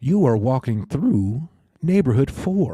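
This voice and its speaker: A man does a put-on character voice at a medium pitch. He goes at a fairly slow pace with very wide pitch swings. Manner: automated announcement.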